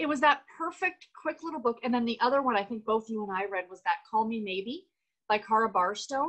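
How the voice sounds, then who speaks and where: Speaking with a Canadian accent, a woman uses a fairly high pitch, lively intonation and a fairly quick pace over a quiet background. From Canada. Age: 40s. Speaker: book YouTuber. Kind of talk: casual chat. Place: home room. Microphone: video call.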